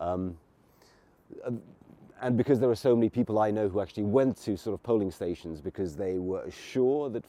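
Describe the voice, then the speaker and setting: Speaking with an English accent, a man uses a dark, mellow tone at a fairly low pitch and moderate pace, with ordinary pitch variation and a dry, close sound with no echo. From England. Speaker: political commentator podcaster. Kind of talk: solo commentary monologue. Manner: halting, many fillers.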